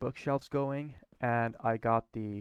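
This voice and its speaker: With a Swedish accent, a man speaks at a medium pitch and with fairly even intonation, the sound dry and close with no echo. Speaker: gaming YouTuber. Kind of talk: gameplay commentary. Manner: halting.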